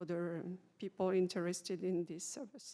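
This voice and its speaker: A woman talks at a medium pitch with a non-native accent. The recording is very clean, with a silent background. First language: French. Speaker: patient navigation specialist. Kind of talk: panel discussion. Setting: conference panel. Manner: halting.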